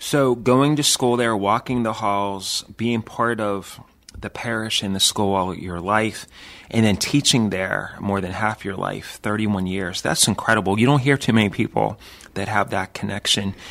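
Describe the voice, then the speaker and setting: An unremarkable speaking voice from a man with an American accent, fairly low in pitch, with ordinary pitch variation at a moderate pace. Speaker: priest and radio host. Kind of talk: radio interview. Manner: warm, conversational, with fillers.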